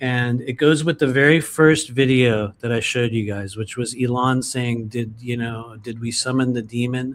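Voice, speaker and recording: A man with a plain, everyday voice talks at a moderate pace and medium pitch, with fairly even intonation and hardly any pauses. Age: 50s. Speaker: tarot reader. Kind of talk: casual chat. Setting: live stream.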